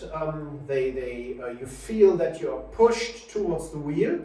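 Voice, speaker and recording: A man with a German accent speaks with ordinary pitch variation. Audible room echo and noticeable background noise surround him. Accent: German accent, self-described school English. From Germany. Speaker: simulator shop owner presenting product. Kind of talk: product presentation. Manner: halting, many filler sounds.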